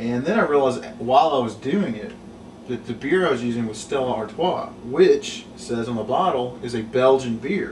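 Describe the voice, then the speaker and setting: With ordinary pitch variation around a medium pitch, the man is heard over noticeable background noise. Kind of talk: casual cooking demonstration to camera. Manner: rambling, hesitant.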